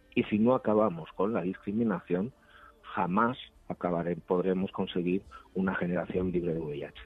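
A man with a very deep, low pitch speaks at a moderate pace with fairly even intonation. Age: 50s. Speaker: HIV activist, director of an HIV organization. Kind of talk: radio interview. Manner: halting, with frequent fillers.

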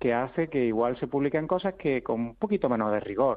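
Lively intonation marks this man's medium-pitched voice. He keeps to a moderate pace. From Andalusia, Spain. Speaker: researcher. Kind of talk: interview. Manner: halting.

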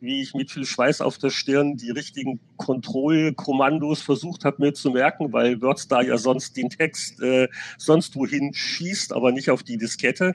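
Speaking at a fairly slow pace, a man uses an ordinary speaking voice of medium pitch with fairly even intonation. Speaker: games journalist. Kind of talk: casual chat. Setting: video call.

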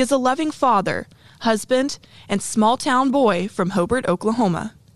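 A woman speaks in a normal speaking voice with lively intonation. Her pace is moderate. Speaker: podcast host. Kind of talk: scripted intro and outro.

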